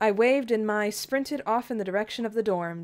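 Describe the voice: The passage is given a plain reading aloud, and the pitch varies in an ordinary way.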